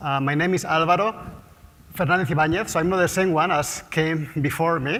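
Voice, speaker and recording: With a Spanish accent, the speaker goes at a fairly quick pace amid noticeable background noise and audible room echo. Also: man. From Spain, Basque Country. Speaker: market research CEO and economist. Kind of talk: conference talk. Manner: fast.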